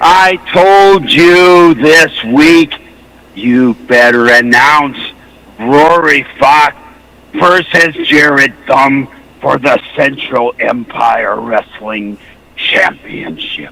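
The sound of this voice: A man performs a put-on character voice at a fairly high pitch. He speaks at a very slow pace.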